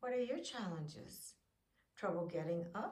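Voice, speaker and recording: A woman talks at a fairly slow pace in a somewhat breathy voice. Audible room echo surrounds her. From Canada. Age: 70s. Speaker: fitness vlogger. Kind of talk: encouraging video talk.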